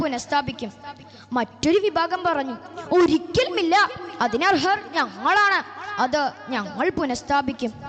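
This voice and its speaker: Very wide pitch swings against noticeable background noise. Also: woman. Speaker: storyteller addressing an audience at a youth religious gathering. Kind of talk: storytelling speech for a religious event, dramatic narration.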